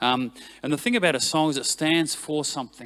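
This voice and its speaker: A man talks with an animated tone and ordinary pitch variation on a very clean recording with a silent background. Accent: New Zealand. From New Zealand. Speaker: worship leader. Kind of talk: talk to church team. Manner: animated, conversational.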